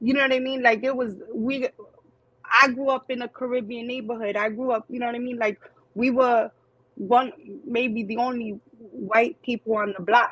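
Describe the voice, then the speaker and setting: High-pitched woman with a New York accent, fairly even intonation and a moderate pace. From New York City, Queens. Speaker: single parent and social media creator. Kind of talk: interview. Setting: live stream. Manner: casual.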